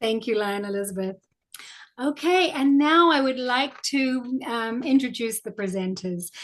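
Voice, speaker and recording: A woman speaks fairly slowly in a high pitch with a New Zealand accent. Her intonation is lively. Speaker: club volunteer presenter. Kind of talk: virtual presentation.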